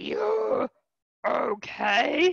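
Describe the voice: A man's strained, put-on character voice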